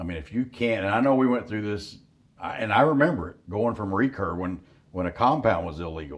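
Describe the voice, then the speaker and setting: Talking at a fairly quick pace, a man with a fairly low pitch has an ordinary speaking voice and lively intonation. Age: 60s. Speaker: hunting outfitter. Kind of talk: casual chat. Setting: deer camp.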